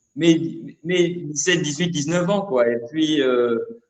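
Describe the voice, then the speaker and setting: Audible room echo surrounds a man with a high voice. He speaks with lively intonation. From Gabon, Libreville. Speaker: rapper. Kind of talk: interview. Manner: halting, repeats words.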